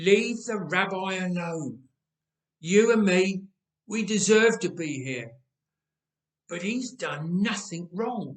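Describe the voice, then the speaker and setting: Croaky and high-pitched, a man performs a put-on character voice with ordinary pitch variation. He speaks at a very slow pace, leaving long, frequent pauses. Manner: pleading, earnest.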